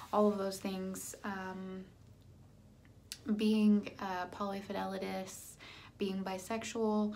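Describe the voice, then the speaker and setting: With audible room echo, a woman speaks very slowly at a medium pitch in a dark, mellow tone, with monotone, flat intonation and long, frequent pauses. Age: 30s. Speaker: vlogger sharing weight loss surgery journey. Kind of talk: casual vlog monologue. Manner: halting, many fillers.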